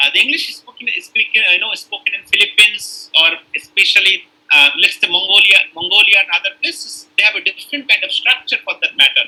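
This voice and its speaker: A man speaks in a North Indian accent. His pace is fairly quick. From northern India. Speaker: university lecturer in linguistics. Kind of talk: lecture. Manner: hesitant, many fillers.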